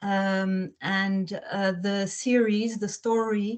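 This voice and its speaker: A woman speaks with a slight French accent and a somewhat breathy voice. Her intonation is monotone and flat. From Belgium. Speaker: children's book author. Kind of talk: interview talk. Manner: hesitant, many fillers.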